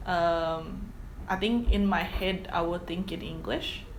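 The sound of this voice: The speech moves at a slow pace. Its pitch varies in an ordinary way. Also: woman, fairly low pitch for a woman.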